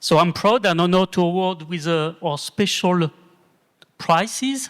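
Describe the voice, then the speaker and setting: A high-pitched man with a French accent, moderate pace and ordinary pitch variation. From France. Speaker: asset management executive and award co-founder. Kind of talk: award ceremony speech.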